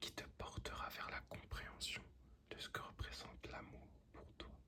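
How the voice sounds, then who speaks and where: The pace stays fairly slow. Everything is spoken in a whisper. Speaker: ASMR tarot reader. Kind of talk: ASMR tarot reading. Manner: whispered.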